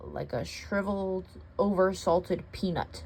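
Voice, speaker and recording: The speaker uses a put-on character voice. Clear background noise can be heard. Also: moderate pace. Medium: read story. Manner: frank, plainspoken.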